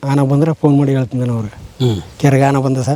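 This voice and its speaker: This man has a fairly high pitch and a dark, mellow tone, delivered in a monotone, flat intonation. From rural Chamarajanagar district, Karnataka (near Bandipur). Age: 40s. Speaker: villager and helper at a conservationist's forest property. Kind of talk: casual interview.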